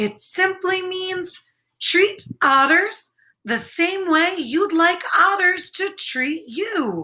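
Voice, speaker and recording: Using a cheerful put-on character voice at an extremely high pitch, a woman speaks at a very slow pace with lively intonation. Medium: read story. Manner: cheerful, friendly.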